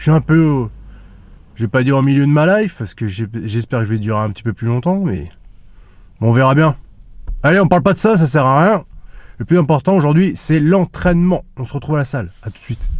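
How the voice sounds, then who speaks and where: Speaking at a fairly quick pace with long, frequent pauses, a man uses a fairly high pitch and very wide pitch swings. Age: 30s. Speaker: fitness vlogger. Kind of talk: casual vlog talk. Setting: gym.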